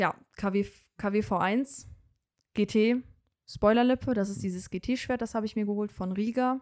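A woman's fairly high voice, fairly slow and even in intonation, with long, frequent pauses. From Germany, Bonn area. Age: 20s. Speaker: car enthusiast, car dealership employee. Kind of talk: casual chat.

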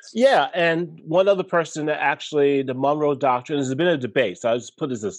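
Speaking at a fairly quick pace with lively intonation, a man with a Brooklyn accent comes through over a quiet background. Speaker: podcast guest, history educator. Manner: conversational, digressive.

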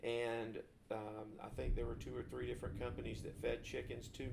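A man's voice is heard here. He speaks in a Southern US accent. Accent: Southern US (Georgia). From US South (north Georgia, Forsyth County). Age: 40s. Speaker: co-host, insurance agent. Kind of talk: casual chat. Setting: living room recording.

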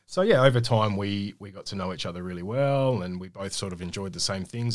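A man with an Australian accent, fairly low pitch and ordinary pitch variation, at a fairly quick pace with big swings in loudness, on a very clean recording with a silent background. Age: 30s. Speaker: small business owner. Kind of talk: radio interview. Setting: studio.

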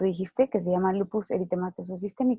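A woman speaks very fast at a medium pitch with fairly even intonation. Her tone is dark and mellow, and the sound is dry and close with no echo. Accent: Mexican. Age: 20s. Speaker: lupus survivor. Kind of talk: interview testimony.

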